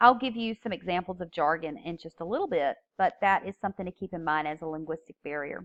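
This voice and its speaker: Over a quiet background, a woman talks at a fairly quick pace in a strong Southern US accent. Her intonation is lively, and the sound is dry and close with no echo. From US South. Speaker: teacher. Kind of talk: lecture.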